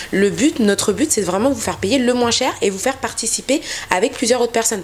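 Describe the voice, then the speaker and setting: With noticeable background noise around her, a woman speaks in a fairly high voice with ordinary pitch variation. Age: 20s. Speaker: travel agency founder. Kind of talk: interview.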